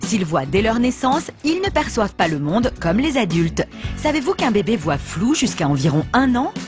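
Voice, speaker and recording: With music playing in the background, a woman speaks at a moderate pace. Her voice is high-pitched and makes very wide pitch swings. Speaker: TV voice-over artist and radio jingle voice. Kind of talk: TV programme promo voice-over, trailer announcement.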